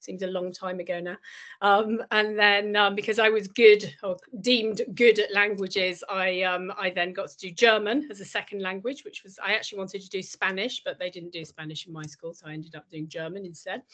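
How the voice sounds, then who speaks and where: In a Lincolnshire accent, the speaker talks at a fairly quick pace with fairly even intonation and big swings in loudness. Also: woman, medium pitch for a woman. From northern England, northeast Lincolnshire. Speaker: businesswoman, career role model. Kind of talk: panel talk to students.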